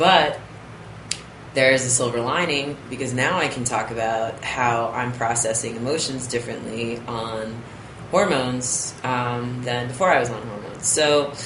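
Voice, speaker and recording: The man's voice sits at medium pitch, at a moderate pace. Noticeable background noise runs underneath. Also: ordinary pitch variation. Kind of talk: casual talk to camera.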